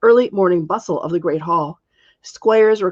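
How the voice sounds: A natural reading voice with ordinary pitch variation in a quiet background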